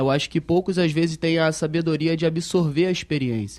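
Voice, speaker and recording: Against a quiet background, a man with an unremarkable speaking voice talks fairly quickly at a fairly high pitch, his intonation fairly even. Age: 20s. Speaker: young manager in industry. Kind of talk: panel discussion.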